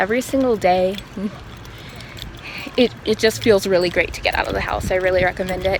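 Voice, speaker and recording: A woman speaks at a fairly quick pace against noticeable background noise. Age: 20s. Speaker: yoga teacher. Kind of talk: casual vlog intro; guided yoga instruction. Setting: outdoors on a walking trail.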